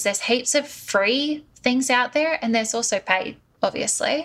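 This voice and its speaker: A woman with an Australian accent speaks at a moderate pace, her pitch varying in an ordinary way. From Australia, Sydney. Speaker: marketing consultant. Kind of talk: interview.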